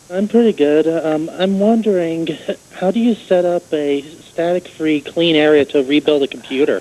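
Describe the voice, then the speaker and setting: Over noticeable background noise, a man talks at a moderate pace with very even loudness. His pitch is high and varies in an ordinary way. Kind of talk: caller on live TV call-in show.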